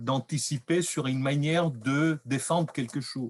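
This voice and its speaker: A man speaks very slowly, with a dry, close sound and no echo. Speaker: researcher presenting findings. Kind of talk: lecture. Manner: loud; hesitant.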